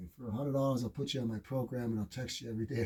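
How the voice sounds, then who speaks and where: This man's voice is somewhat breathy, with a dark, mellow tone. His pitch varies in an ordinary way. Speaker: radio host and fitness coach. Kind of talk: radio show talk. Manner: fast; animated.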